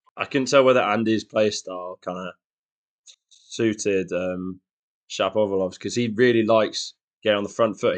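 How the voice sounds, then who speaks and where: A man with a West Midlands accent at a moderate pace, fairly even in intonation, the sound dry and close with no echo against a quiet background. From Shrewsbury, West Midlands, England. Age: 20s. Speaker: tennis fan, guest co-host. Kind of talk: casual chat.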